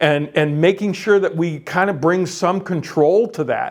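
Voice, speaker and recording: A loud, high-pitched man at a moderate pace with ordinary pitch variation. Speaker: career navigator, workshop facilitator. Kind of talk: workshop lecture. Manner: hesitant fillers.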